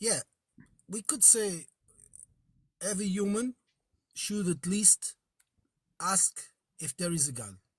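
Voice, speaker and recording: Speaking at a fairly slow pace with long, frequent pauses, a man with a high voice uses lively intonation in a dry, close sound with no echo. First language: Portuguese. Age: 40s. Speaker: caller. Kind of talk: call-in debate. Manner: halting.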